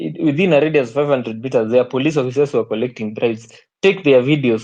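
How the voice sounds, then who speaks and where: A man with a medium pitch talks at a very fast pace. His pitch variation is ordinary. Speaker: activist speaker. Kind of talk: online group discussion.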